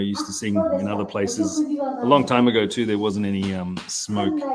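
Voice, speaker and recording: A man with an Australian accent speaks at a moderate pace, and audible room echo surrounds him. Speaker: onsen hotel owner and show co-host. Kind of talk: casual chat. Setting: live stream. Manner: halting.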